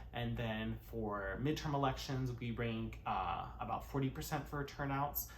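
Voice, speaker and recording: In audible room echo, a man talks at a fairly slow pace with hardly any pauses. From US, California. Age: 20s. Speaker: YouTuber, cover singer turned commentator. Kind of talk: vlog-style commentary to camera. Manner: frequent filler words (uh, um).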